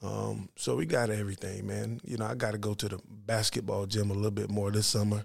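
In a very clean recording with a silent background, a man with a fairly low, somewhat breathy voice talks at a fairly quick pace with fairly even intonation and hardly any pauses. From USA. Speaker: professional basketball player. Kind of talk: interview.

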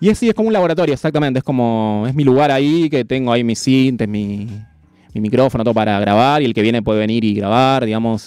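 Talking at a very fast pace with a Rioplatense accent, a man shows ordinary pitch variation. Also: medium pitch for a man. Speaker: beatmaker. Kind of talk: casual interview. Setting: radio studio.

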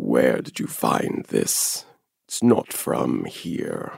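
Using a put-on character voice, a man talks at a very slow pace with very deep, low pitch.

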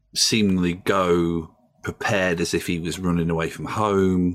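A man speaks with a South Yorkshire accent. His pitch is very deep and low. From northern England, Doncaster. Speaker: journalist and podcaster. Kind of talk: casual chat. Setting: video call.

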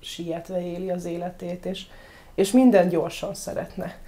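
A woman's dark, mellow tone at a fairly slow pace. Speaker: dog trainer. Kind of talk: casual interview.

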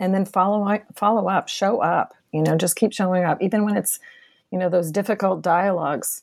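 In an American accent, a woman with an ordinary speaking voice and medium pitch talks at a fairly quick pace, with very even loudness, fairly even intonation, and a very clean recording against a silent background. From Boston, Massachusetts. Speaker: professor. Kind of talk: interview.

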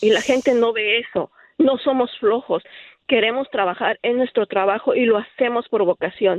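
A woman talks at a moderate pace in an ordinary speaking voice, fairly high-pitched with ordinary pitch variation. Her loudness is very even, and the sound is dry and close with no echo. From Mexico. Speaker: nurse. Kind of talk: radio call-in testimony.

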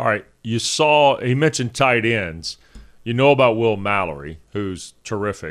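A man's medium-pitched, plain, everyday voice with lively intonation at a moderate pace, on a very clean recording with a silent background. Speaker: sports radio host. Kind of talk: casual sports talk show banter. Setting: studio, streamed show.

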